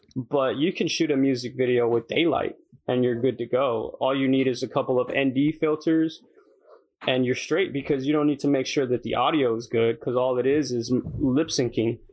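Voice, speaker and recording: A man speaks at a medium pitch with fairly even intonation in an unremarkable speaking voice. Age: 20s. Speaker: podcast co-host, aspiring rapper. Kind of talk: casual chat.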